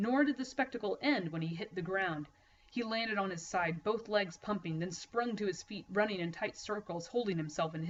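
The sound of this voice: An unforced reading voice carries the words along.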